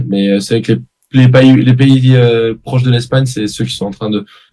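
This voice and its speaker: Dark and mellow in tone, a man's voice proceeds at a moderate pace. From southern France (Aix-en-Provence). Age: 20s. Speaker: professional padel player. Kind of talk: interview.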